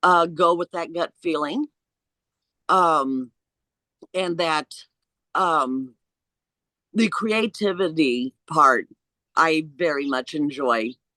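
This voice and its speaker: A woman with a US Midwestern accent speaks very slowly, with long, frequent pauses. Her voice is fairly low, bright and sharp, heard dry and close with no echo. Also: ordinary pitch variation. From Indiana, US Midwest. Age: 60s. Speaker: interviewee sharing pre-life memories. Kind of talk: personal testimony in interview.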